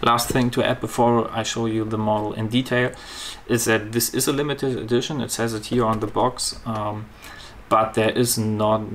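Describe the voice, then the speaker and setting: Against noticeable background noise, a man with a German accent speaks at a medium pitch and moderate pace in a monotone, flat intonation. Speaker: model car reviewer. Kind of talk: product review. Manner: halting with fillers.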